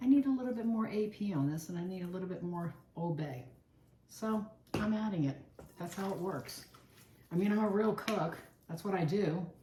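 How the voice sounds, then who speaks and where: Over noticeable background noise and audible room echo, a woman speaks in an American accent with lively intonation. Her pace is moderate, broken by long, frequent pauses. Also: medium pitch for a woman. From Virginia, Chesapeake Bay area. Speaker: home cook, cooking channel host. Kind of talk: cooking tutorial. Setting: home kitchen. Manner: casual, chatty.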